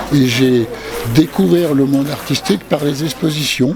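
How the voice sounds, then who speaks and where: A man talks at a fairly slow pace in a medium pitch with ordinary pitch variation. Noticeable background noise can be heard. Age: 70s. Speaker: self-taught artist. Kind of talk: interview. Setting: art fair. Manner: hesitant.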